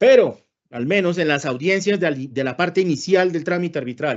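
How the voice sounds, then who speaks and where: This man's high voice swings very widely in pitch. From Colombia, Santander. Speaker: lawyer and arbitrator giving a talk. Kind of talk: lecture. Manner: blunt, sometimes heard as scolding.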